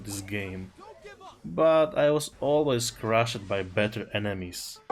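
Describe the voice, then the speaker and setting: Speaking at a very slow pace, a man with a non-native accent uses lively intonation at a medium pitch. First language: not English. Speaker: gaming content creator. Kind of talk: personal storytelling over gameplay.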